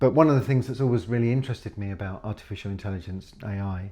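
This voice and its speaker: A man speaks in a British accent with a dark, mellow tone. His voice is somewhat breathy, with ordinary pitch variation. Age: 60s. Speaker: professor, computer scientist. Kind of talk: podcast interview.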